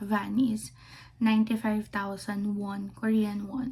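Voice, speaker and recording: A woman speaks at a very slow pace and a medium pitch. Her tone is dark and mellow, and somewhat breathy. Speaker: travel vlogger. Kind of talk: casual vlog talk. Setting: Airbnb room. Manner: hushed, lowered voice; halting, many fillers.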